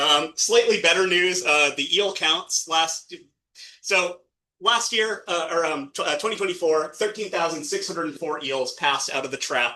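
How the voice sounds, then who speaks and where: High-pitched and bright, sharp in tone, a man's voice shows ordinary pitch variation. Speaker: watershed ecologist presenting at nonprofit meeting. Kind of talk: presentation. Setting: meeting room with audience, streamed on video call. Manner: fast; halting, many fillers.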